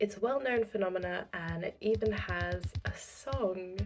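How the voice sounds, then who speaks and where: Music plays in the background as a woman speaks. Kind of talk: casual talk to camera.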